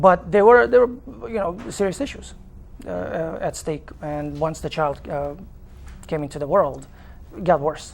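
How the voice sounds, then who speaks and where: A man with a Romanian accent talks at a fairly slow pace in a fairly high pitch, with lively intonation, big swings in loudness and long, frequent pauses. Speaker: father in custody dispute. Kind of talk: TV interview. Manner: halting, many fillers.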